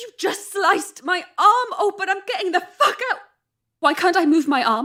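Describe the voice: In a put-on character voice, a woman talks at an extremely high pitch with a bright, sharp tone, lively intonation and a moderate pace.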